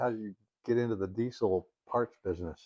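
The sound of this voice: Speaking at a fairly quick pace, a man uses a fairly low pitch with ordinary pitch variation and a slightly husky edge.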